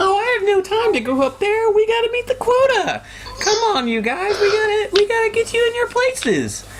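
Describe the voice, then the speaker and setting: A squeaky falsetto carries a put-on character voice at a fairly quick pace. Clear background noise is present. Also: man, extremely high pitch for a man. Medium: actual play. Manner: chipper and pushy.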